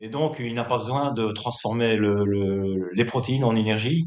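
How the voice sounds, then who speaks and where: A man talks very slowly, his medium-pitched voice rising and falling in an ordinary way. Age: 60s. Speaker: bodybuilder. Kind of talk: interview. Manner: hesitant, many filler words.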